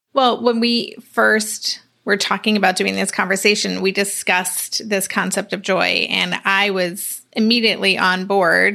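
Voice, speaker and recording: On a very clean recording with a silent background, a woman speaks at a medium pitch at a fairly slow pace with hardly any pauses, her tone bright and sharp, her intonation monotone and flat, with vocal fry. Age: 50s. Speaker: podcast host. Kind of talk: interview.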